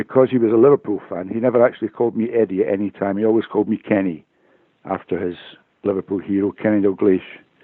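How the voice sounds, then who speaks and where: The speaker has a Glaswegian accent. Intonation stays fairly even. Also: man, fairly low pitch for a man. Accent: Glaswegian Scottish. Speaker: retired police officer. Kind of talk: interview testimony. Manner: halting, repeats words.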